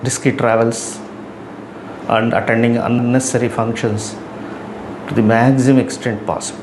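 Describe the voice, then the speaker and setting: Amid noticeable background noise and audible room echo, a man speaks at a moderate pace in a medium pitch. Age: 70s. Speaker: YouTuber giving life advice. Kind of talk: talking-head advice monologue.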